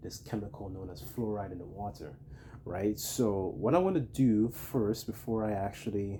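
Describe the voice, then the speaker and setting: A somewhat breathy male voice at a moderate pace. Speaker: religious teacher. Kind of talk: religious lesson. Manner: casual, hesitant with fillers.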